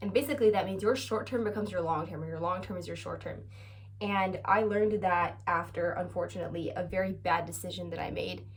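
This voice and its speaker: Amid audible room echo, a woman talks at a very fast pace in an animated tone. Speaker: vlogger. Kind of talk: casual chat.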